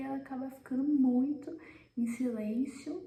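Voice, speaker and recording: Quiet and high-pitched, a woman's voice comes through audible room echo and noticeable background noise. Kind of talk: devotional talk. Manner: speaking quietly.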